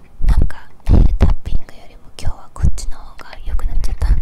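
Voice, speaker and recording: A soft-spoken woman whispers at a very fast pace. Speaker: ASMR creator. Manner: close soft whisper into recorder. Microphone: handheld.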